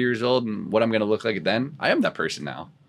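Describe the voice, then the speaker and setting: A man with a normal speaking voice, pitched fairly low, talks at a fairly quick pace. The background is quiet. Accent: American. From rural US. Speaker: fitness club salesman, recovering addict. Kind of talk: interview testimony.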